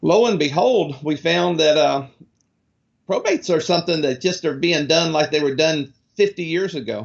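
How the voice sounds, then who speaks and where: Vocal fry runs through a man's fairly high-pitched voice. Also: ordinary pitch variation, moderate pace. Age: 70s. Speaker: real estate lead company executive. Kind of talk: interview. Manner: halting.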